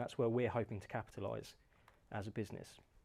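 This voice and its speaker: A man with a British accent talks at a very fast pace. The recording is very clean with a silent background. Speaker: company founder giving a talk. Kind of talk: presentation talk.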